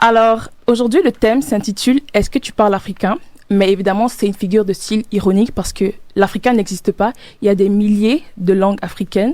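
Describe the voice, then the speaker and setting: Talking at a fairly quick pace, a woman uses a Cameroonian accent and a medium pitch. Her tone is dark and mellow, with ordinary pitch variation. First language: Medumba (speaking French). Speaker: student podcast host. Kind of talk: casual chat.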